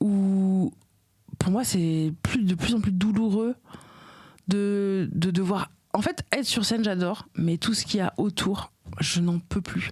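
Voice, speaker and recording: Speaking at a very slow pace, a woman with a medium pitch pauses long and often, keeping her loudness very even and her pitch variation ordinary. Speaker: comedian and podcaster. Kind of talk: interview answer.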